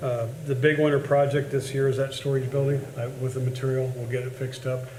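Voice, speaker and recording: A man talks in a monotone, flat way at medium pitch, with audible room echo and noticeable background noise. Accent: Midwestern US. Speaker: cemetery superintendent. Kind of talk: public meeting report. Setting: board meeting. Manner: fast.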